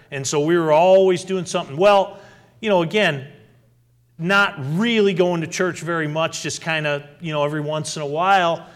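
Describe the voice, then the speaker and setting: A man speaks at a fairly high pitch with fairly even intonation. Audible room echo surrounds his voice. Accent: American. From New England, western Massachusetts. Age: 50s. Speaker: pastor. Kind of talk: sermon.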